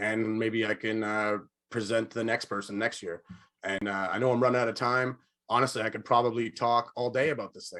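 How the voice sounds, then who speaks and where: This man's tone is bright and sharp at a medium pitch. He talks at a fairly quick pace. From Nova Scotia, Canada. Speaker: adult learner. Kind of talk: speech. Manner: fast; animated.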